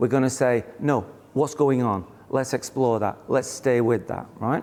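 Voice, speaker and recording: Speaking at a moderate pace, a man with a British accent has a medium pitch and a dark, mellow tone. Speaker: therapist and Bible teacher. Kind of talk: live teaching session.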